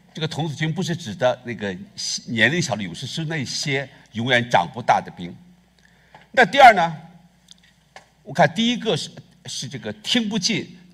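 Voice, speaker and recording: A man's fairly high voice with vocal fry, very wide pitch swings, big swings in loudness and long, frequent pauses against a quiet background. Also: moderate pace. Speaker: pastor. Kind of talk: sermon. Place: church. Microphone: headset.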